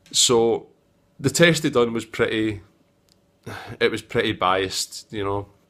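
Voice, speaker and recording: In a Scottish accent, a man speaks at medium pitch. He keeps a moderate pace. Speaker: tech video maker. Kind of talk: casual vlog review. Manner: hesitant, many fillers.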